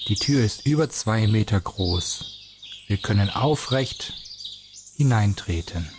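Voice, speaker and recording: Over noticeable background noise, the speaker uses a calm, soothing tone and lively intonation at a very slow pace, with very even loudness and long, frequent pauses. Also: man, medium pitch for a man. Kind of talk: guided meditation. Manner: slow, calm and soothing, with gentle pauses; soft-spoken, warmly inviting, in a dreamy storyteller's cadence.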